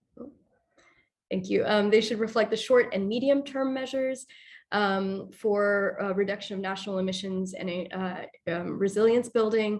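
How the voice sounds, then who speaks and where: This woman has a normal speaking voice, medium in pitch, with fairly even intonation and a moderate pace. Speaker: presenter at training webinar. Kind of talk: presentation.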